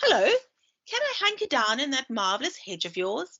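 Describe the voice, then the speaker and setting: In a croaky, put-on character voice, the speaker moves at a moderate pace with very wide pitch swings. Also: woman, high pitch for a woman. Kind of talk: friendly, polite. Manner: loud.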